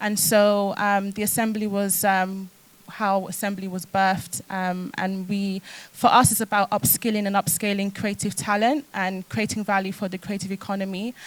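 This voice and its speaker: A woman in a London accent talks at a moderate pace and medium pitch, with fairly even intonation. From London, with time in South Wales. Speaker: fashion entrepreneur. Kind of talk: panel discussion.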